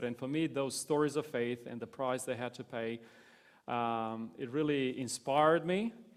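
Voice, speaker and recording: A man with a Romanian accent and fairly even intonation. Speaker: pastor. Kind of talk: interview.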